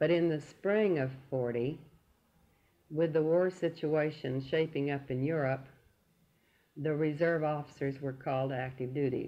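A woman's very deep, low voice with a Southern US accent, fairly slow, with fairly even intonation. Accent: Southern US (Oklahoma). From Oklahoma City, USA. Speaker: World War II air raid defense veteran. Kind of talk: oral history interview answer.

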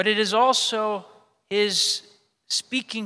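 A man speaks in a raised, projected voice with a bright, sharp tone. His intonation stays fairly even. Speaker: priest. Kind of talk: sermon. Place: church. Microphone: podium.

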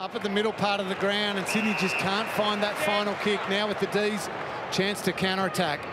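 A raised, projected voice with fairly even intonation moves at a fairly quick pace over noticeable background noise. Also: man, high pitch for a man. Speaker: sports commentator. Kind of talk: live commentary. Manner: fluent, analytical co-commentary.

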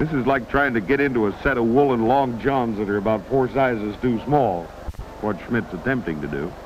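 Over noticeable background noise, a man at medium pitch speaks in an animated tone with lively intonation. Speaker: wrestling announcer. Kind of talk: live commentary. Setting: ringside at a crowded arena. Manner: animated, folksy and wisecracking, quick patter with homespun similes.

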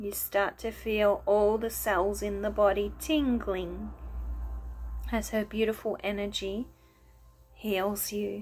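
A soft-spoken woman talks at a very slow pace with long, frequent pauses. Her tone is calm and soothing over light background noise. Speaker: wellness video host and meditation guide. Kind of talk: guided meditation. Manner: slow, soothing, gentle; calm, soft-spoken. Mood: calm, soothing. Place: home room. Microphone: phone near.

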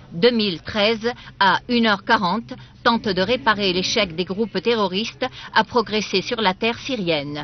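Speech comes at a fairly slow pace with ordinary pitch variation. The sound is dry with no echo, over light background noise. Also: woman. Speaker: TV news reader. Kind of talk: formal news reading. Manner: formal, steady official newsreader delivery. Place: studio.

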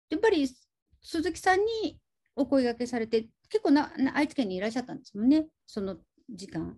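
In a dark, mellow tone, a woman speaks high-pitched, with very wide pitch swings and big swings in loudness, against a quiet background. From Aichi, Japan. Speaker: film podcast host. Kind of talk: interview chat. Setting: video call. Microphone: video call.

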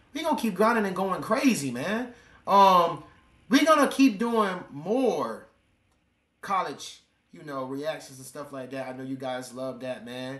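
Audible room echo carries a man's animated, fairly slow speech, high in pitch, with very wide pitch swings and big swings in loudness. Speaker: reaction video creator. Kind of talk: casual reaction commentary. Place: home room. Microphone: webcam.

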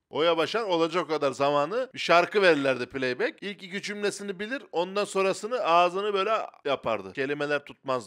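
Against a quiet background, a man speaks high and fairly quickly with an animated tone, lively intonation and hardly any pauses. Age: 30s. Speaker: comedian; comedian podcast co-host. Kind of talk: casual chat. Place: studio. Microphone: handheld.

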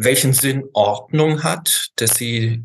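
A man's somewhat breathy voice, very slow in pace, with lively intonation. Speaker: remote guest. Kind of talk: interview answer. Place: home room. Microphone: video call.

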